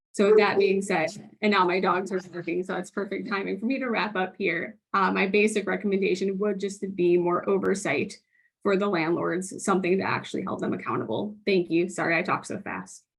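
A woman's medium-pitched voice with vocal fry, fairly even intonation and a fairly quick pace. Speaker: housing case manager giving public testimony. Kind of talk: public testimony. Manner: very fast.

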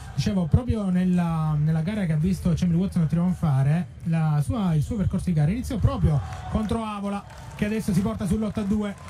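Amid noticeable background noise, a man speaks in an excited tone at a high pitch with ordinary pitch variation. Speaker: fencing commentator. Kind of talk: live sports commentary. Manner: fast, rattling off scores in a steady flow; excited, with a tone that rises at key touches.

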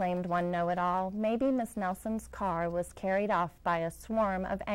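This is plain reading aloud. The words are simply read from the page.

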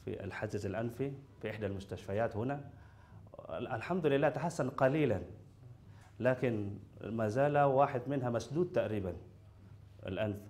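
A man speaks at medium pitch in an Indonesian accent, somewhat breathy, at a fairly slow pace with long, frequent pauses and ordinary pitch variation. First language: Indonesian (speaking Arabic). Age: young. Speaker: patient, university student. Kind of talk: testimony; interview answer. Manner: halting. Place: studio.

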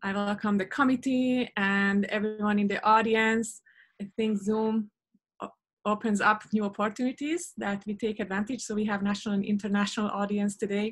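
A woman speaks at a fairly high pitch with a somewhat breathy sound. Her pace is moderate, her intonation fairly even, and the background quiet. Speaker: professor. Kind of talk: formal introduction. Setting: video call. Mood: warm, proud. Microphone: video call.

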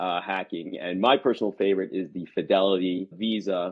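A man keeps a moderate pace, and the background is quiet. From central New Jersey. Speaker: neurologist. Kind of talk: casual interview. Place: office. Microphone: video call.

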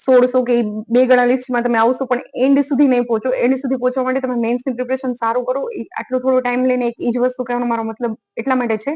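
A woman's high-pitched voice in monotone, flat intonation. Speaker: exam-prep YouTuber. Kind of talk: study tips talk to camera. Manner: conversational.

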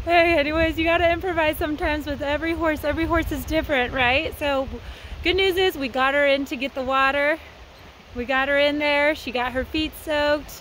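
A woman's high voice at a fairly quick pace with fairly even intonation, dry with no echo over light background noise. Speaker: horse trainer. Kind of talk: casual vlog chat. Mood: cheerful, laughing. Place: open country. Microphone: phone near.

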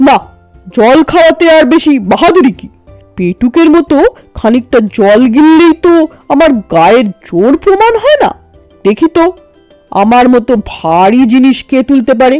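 Over faint background music, a woman performs a put-on character voice at a moderate pace. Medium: read story. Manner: boastful, commanding.

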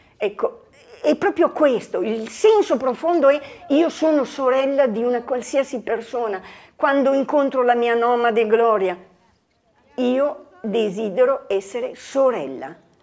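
Pitched high, a woman speaks at a fairly slow pace with lively intonation. She leaves long, frequent pauses. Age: 70s. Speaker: lay missionary worker. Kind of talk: testimony.

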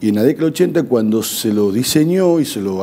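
A man speaks at a moderate pace and medium pitch. His intonation is lively. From Argentina. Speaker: provincial government official, former legislator. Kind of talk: TV interview. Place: studio. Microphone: lapel.

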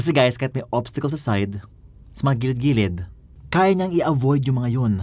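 Somewhat breathy and fairly quick, a man speaks at a fairly high pitch with very wide pitch swings. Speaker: tech reviewer. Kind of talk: product review. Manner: animated.

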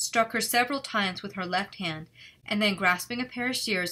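Someone is reading aloud in a natural voice, the pitch rising and falling an ordinary amount.

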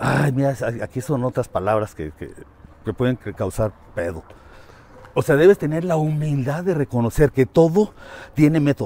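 A man speaks at a moderate pace with lively intonation and long, frequent pauses. The sound is dry and close with no echo, but noticeable background noise comes through. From Mexico City. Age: 60s. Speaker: teacher. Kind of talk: casual interview. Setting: outdoors, walking.

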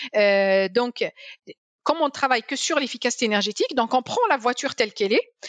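Her high voice has lively intonation as the woman talks at a moderate pace, the sound dry with no echo over a quiet background. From Algeria, Algiers; Algeria. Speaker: energy policy scientist; guest. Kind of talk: interview. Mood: calm, explanatory, somewhat critical. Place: home room. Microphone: headset.

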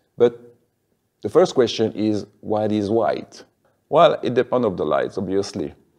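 A man talks at a medium pitch with a French accent. The background is quiet. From French-speaking Switzerland. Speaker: video tutorial creator. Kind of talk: tutorial. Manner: hesitant, with fillers. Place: classroom. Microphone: lapel.

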